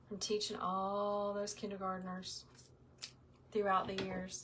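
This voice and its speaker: A woman speaks in a somewhat breathy voice. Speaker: wreath maker, small business owner, former kindergarten teacher. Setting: crafting tutorial. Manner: calm, instructive, like teaching young children.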